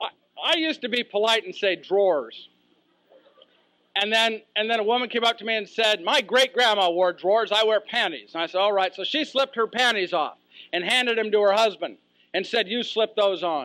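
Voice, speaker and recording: A man speaks in a raised, projected voice that is high-pitched with a bright, sharp tone. He goes at a fairly quick pace, and the sound is dry and close with no echo. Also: ordinary pitch variation. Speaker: professional speaker. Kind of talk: humorous keynote speech story. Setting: live audience.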